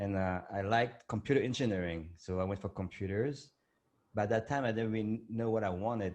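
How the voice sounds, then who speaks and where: A man with a French accent speaks at a fairly quick pace. His pitch is fairly low, set against a quiet background. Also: ordinary pitch variation. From France, Vietnamese parents. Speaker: entrepreneur and meditation creator. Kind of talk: interview. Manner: halting, with fillers.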